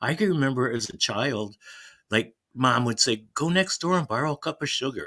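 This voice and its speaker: A man with a Chicago accent talks with lively intonation in a bright, sharp tone. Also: medium pitch for a man, moderate pace. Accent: Chicago American English. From US Midwest, Chicago. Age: 70s. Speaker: caller, Navy veteran. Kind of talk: casual chat.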